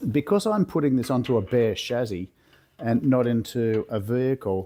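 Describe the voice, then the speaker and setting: A man's medium-pitched voice with an Australian accent and ordinary pitch variation. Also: moderate pace. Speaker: car builder, workshop video maker. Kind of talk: tutorial. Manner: casual, with fillers.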